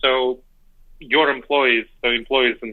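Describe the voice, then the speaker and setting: A man with a former Soviet accent at a fairly quick pace. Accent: former Soviet Union accent, kept. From Moldova, moved to New York City at 10. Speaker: decision-making scholar and author. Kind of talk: interview.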